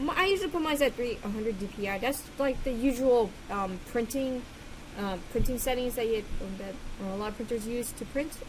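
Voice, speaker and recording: Against noticeable background noise, a woman talks at a moderate pace in a fairly high voice with lively intonation. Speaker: digital artist. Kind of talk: casual tutorial voice-over. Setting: home recording with loud computer fan. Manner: hesitant, many filler words.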